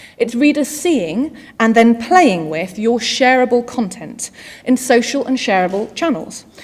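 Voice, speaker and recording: At a fairly slow pace, the speaker uses lively intonation against noticeable background noise. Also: woman. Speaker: digital marketing executive, conference speaker. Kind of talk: conference keynote. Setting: stage with audience.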